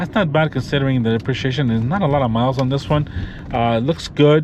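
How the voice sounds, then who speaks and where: A man at medium pitch with ordinary pitch variation, speaking very fast over noticeable background noise. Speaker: car reviewer vlogger. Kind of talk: POV car review while driving. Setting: in a car. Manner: excited.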